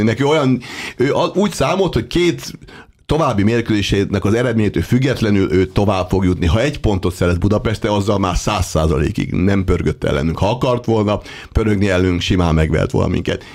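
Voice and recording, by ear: With an ordinary speaking voice, a man speaks fairly quickly at a fairly low pitch, his intonation lively and his loudness very even.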